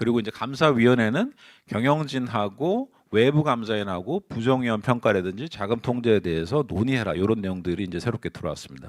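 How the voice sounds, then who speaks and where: A man speaks at a fairly quick pace with lively intonation and a medium pitch. The recording is very clean, with a silent background. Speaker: conference speaker on governance and internal control. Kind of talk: conference presentation. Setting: seminar hall with audience. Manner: speeding up under time pressure; hesitant fillers, self-corrections.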